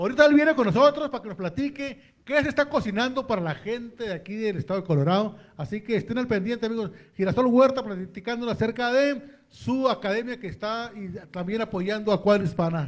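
Moving at a fairly quick pace, a man with a high pitch uses lively intonation and big swings in loudness. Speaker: radio host.

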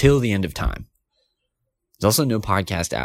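Talking at a very fast pace, a man sounds animated as his pitch swings very widely. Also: very clean recording, silent background. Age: 20s. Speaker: podcast host. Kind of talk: casual chat.

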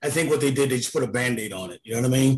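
A man with a fairly high pitch and an American accent. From New York. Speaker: financial analyst. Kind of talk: casual panel discussion.

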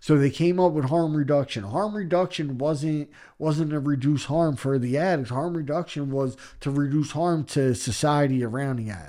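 A man with a Philadelphia accent speaks at a moderate pace in a dark, mellow tone, his fairly high pitch showing ordinary variation, in a very clean recording with a silent background. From Philadelphia, Kensington. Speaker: recovering addict sharing his story. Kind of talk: podcast interview, personal testimony.

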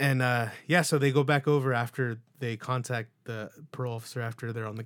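An unremarkable speaking voice from a man at medium pitch, fairly quick, with fairly even intonation, in a very clean recording over a silent background. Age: 20s. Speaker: podcast host. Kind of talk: casual chat. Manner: casual, filler-heavy.

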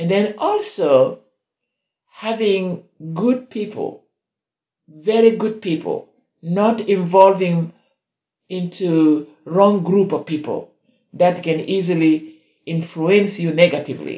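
Pitched high for a man, with ordinary pitch variation, he talks at a very slow pace with long, frequent pauses. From South Sudan. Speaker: hospice counselor. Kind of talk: interview testimony.

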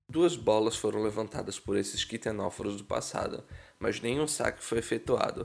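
A man with a Brazilian accent speaks at a moderate pace. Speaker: science podcast host. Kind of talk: scripted narration.

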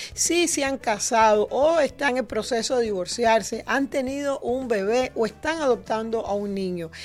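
A woman with a high pitch speaks at a fairly slow pace, with lively intonation. She hardly pauses at all. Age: 60s. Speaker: radio host and insurance agent. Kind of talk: insurance info segment; casual interview.

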